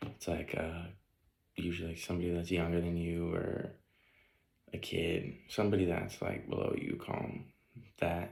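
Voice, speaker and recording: In a room with audible echo, a man speaks at a moderate pace with a very deep, low pitch. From US Midwest, Northeast Ohio. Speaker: student. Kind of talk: class video presentation. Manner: casual, many fillers (um, like).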